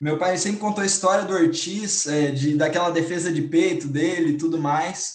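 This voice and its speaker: A high-pitched male voice at a moderate pace, with fairly even intonation and hardly any pauses. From Brazil, Cuiabá. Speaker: football fan panelist. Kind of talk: casual chat.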